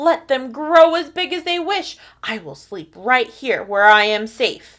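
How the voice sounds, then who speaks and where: A woman puts on a character voice, pitched high. She speaks at a fairly slow pace. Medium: read story. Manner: anxious.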